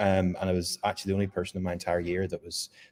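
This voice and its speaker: A man with a Northern Irish accent, fairly low pitch and a dark, mellow tone at a very fast pace, in a very clean recording with a silent background. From rural Northern Ireland. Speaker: software engineer. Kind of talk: panel discussion.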